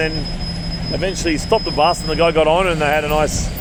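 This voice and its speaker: Talking at a very fast pace, a man with an Australian accent has a high pitch and monotone, flat intonation. The recording has audible room echo and noticeable background noise. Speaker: travel vlogger. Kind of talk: casual chat. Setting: outdoors.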